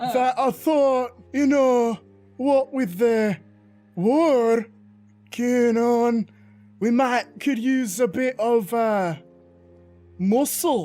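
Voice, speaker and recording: Putting on a character voice at an extremely high pitch, a man speaks very slowly with long, frequent pauses while faint music plays in the background. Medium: actual play.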